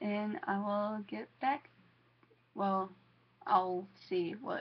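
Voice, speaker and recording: Speaking very slowly with long, frequent pauses, a woman with a Southern US accent uses a medium pitch and ordinary pitch variation. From US South, Georgia. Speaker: vlogger. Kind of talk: casual vlog to camera. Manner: halting, many fillers.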